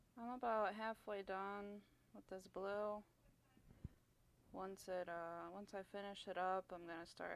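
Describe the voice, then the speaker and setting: A soft-spoken, mumbling woman at a fairly slow pace in a monotone, flat intonation. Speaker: streamer painting miniatures. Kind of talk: casual livestream chat. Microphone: clip-on mic hanging off shirt, too quiet.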